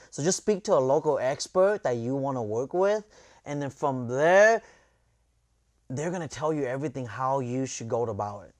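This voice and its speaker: Speaking at a moderate pace against a quiet background, a man with a fairly high pitch uses lively intonation and big swings in loudness. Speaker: real estate agent. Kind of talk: casual interview.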